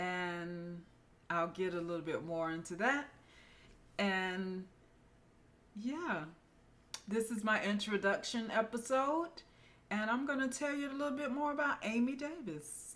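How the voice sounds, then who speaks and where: A soft-spoken woman at a fairly high pitch, fairly slow, with very wide pitch swings and long, frequent pauses. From US South, Florida (Winter Haven). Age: 40s. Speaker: nurse practitioner and podcast host. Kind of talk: casual personal introduction monologue. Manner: quiet, soft-spoken.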